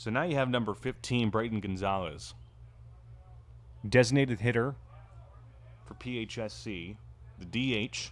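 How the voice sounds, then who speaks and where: A man with vocal fry speaks with big swings in loudness and long, frequent pauses. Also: ordinary pitch variation, moderate pace. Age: 20s. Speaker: play-by-play commentator. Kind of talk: live sports commentary. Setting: ballpark with crowd.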